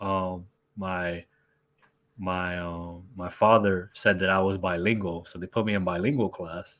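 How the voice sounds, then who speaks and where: A man with a New York accent speaks in a very deep, low voice with monotone, flat intonation and big swings in loudness. His pace is fairly slow, and the recording is very clean with a silent background. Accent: New York American. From New York, US, Colombian family. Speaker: sports scientist. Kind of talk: casual live stream chat. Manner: halting.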